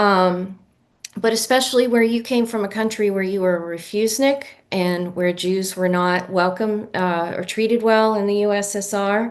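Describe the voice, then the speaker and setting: A woman with an American accent talks at a moderate pace in a normal speaking voice, her intonation fairly even. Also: medium pitch for a woman. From US. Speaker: reading series moderator. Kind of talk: interview questions. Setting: video call.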